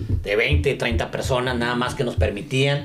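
Amid noticeable background noise and audible room echo, a man with a medium pitch speaks at a moderate pace with lively intonation. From Mexico, Chihuahua. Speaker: event promoter and business founder. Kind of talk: casual interview.

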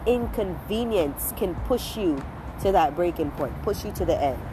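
A woman talks at a fairly slow pace. There is audible room echo and noticeable background noise. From Caribbean. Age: 20s. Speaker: podcast host. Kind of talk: casual monologue. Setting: outdoors.

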